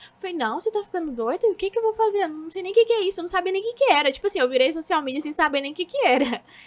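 A woman's extremely high-pitched voice, bright and sharp in tone, with lively intonation. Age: 20s. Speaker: social media manager. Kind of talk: casual interview chat.

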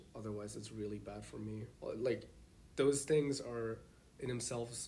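A man speaks at a medium pitch in a dark, mellow tone that is somewhat breathy. His pace is moderate with ordinary pitch variation, and audible room echo is present. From Germany. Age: 20s. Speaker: master's student. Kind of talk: casual interview.

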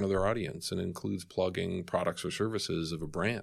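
In a very clean recording with a silent background, a man with an American accent and a plain, everyday voice speaks at a moderate pace with ordinary pitch variation. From Boston. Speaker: tech company executive. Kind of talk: interview.

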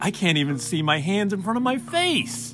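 Clear music plays in the background as a man uses a put-on character voice pitched high. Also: moderate pace. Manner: put-on, theatrical.

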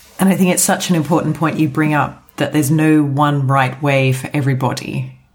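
With music in the background, a woman in a very deep, low pitch speaks at a fairly quick pace, her intonation fairly even and her loudness very even. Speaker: podcast host. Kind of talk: interviewer and podcast intro.

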